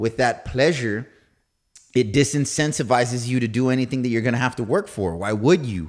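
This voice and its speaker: This very clean recording with a silent background features a man with an unremarkable speaking voice. He speaks at a medium pitch and a fairly quick pace, with ordinary pitch variation. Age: 30s. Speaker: podcast host and new real estate agent. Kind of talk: casual chat. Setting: studio.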